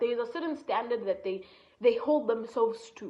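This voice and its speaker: A woman with a strong Kenyan accent talks at a fairly quick pace. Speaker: entrepreneur and content creator. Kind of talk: motivational talk. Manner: casual, conversational.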